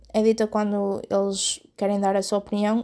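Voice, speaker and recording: In a very clean recording with a silent background, a woman with a European Portuguese accent speaks at a fairly slow pace, her medium-pitched voice dark and mellow and her intonation monotone and flat. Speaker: podcaster and blogger. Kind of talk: solo podcast monologue. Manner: hesitant, many fillers.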